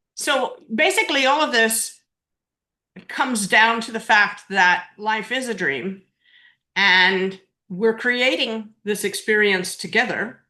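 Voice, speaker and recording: Over a quiet background, a woman with a fairly high pitch and a bright, sharp tone speaks at a very slow pace with ordinary pitch variation. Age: 60s. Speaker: near-death experiencer and author. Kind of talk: interview testimony.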